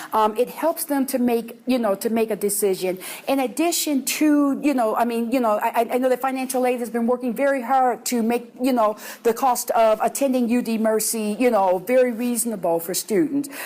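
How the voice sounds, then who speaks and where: A woman's high-pitched voice with a dark, mellow tone. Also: ordinary pitch variation, moderate pace. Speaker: university administrator. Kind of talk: presentation.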